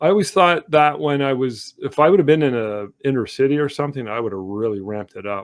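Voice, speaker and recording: Spoken with a Canadian accent at a very fast pace, this voice has lively intonation and hardly any pauses. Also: man, medium pitch for a man. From Canada, Sudbury Ontario. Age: 60s. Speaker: artist. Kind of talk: interview. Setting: livestream video call. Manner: reflective, with many fillers.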